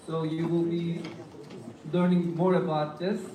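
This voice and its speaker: Someone speaks with a Turkish accent over noticeable background noise. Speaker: conference moderator. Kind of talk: formal introduction. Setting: conference hall with audience.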